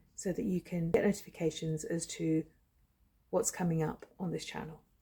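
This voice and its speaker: A woman speaks at a fairly slow pace with a fairly low pitch. Her voice is somewhat breathy, with a dark, mellow tone. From England, Shropshire. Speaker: storyteller, channel founder. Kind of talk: personal storytelling.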